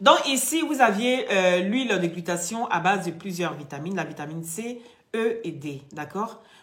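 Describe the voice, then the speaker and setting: At a very slow pace, a woman talks amid audible room echo. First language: not French (speaking French). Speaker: live-stream product seller. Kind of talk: sales pitch. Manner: animated.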